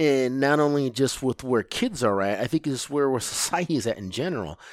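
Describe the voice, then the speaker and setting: At a moderate pace, a man with a Midwestern American accent speaks in a fairly high voice on a very clean recording with a silent background. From US Midwest, Lansing, Michigan. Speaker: project manager. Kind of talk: casual chat.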